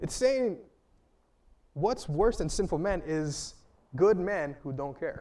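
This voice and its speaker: The speaker goes very slowly, leaving long, frequent pauses. The intonation is lively, and room echo is audible. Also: man, high pitch for a man. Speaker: preacher. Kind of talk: sermon.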